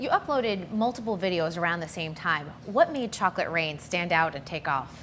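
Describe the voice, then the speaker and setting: Speech comes at a moderate pace with lively intonation and hardly any pauses. Noticeable background noise is present. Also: woman, fairly low pitch for a woman. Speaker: web show host. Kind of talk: interview. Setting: on location at a bakery.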